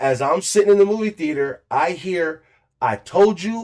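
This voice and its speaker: A man speaks loudly in a high pitch. His tone is animated and his intonation lively. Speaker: podcast co-host telling a story. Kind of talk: casual storytelling chat.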